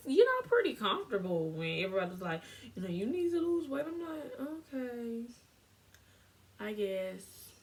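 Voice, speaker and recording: Through noticeable background noise, a woman speaks with lively intonation and an animated tone. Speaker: lifestyle vlogger. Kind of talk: casual vlog monologue. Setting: filming at home on camera.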